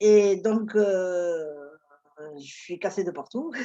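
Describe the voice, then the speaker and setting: A woman speaks at a medium pitch with a dark, mellow tone. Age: 60s. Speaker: retiree, fitness client. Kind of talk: testimony.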